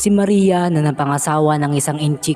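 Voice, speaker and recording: With an Ilocano accent, a man talks at a moderate pace in a fairly high voice with ordinary pitch variation while music plays in the background. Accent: Ilocano-accented Tagalog. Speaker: horror story narrator. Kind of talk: horror story narration.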